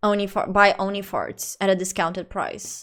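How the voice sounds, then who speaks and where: A woman speaks in a Portuguese accent at a medium pitch and a fairly slow pace. The recording is very clean, with a silent background. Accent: non-native English, Portuguese. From central Portugal. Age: 20s. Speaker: streamer. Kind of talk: casual live-stream chat. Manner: animated.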